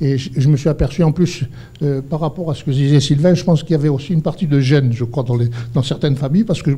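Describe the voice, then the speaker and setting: Very fast in pace, a man talks in a fairly high-pitched voice. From Algeria. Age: 70s. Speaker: entrepreneur. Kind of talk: panel discussion. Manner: halting, many repetitions.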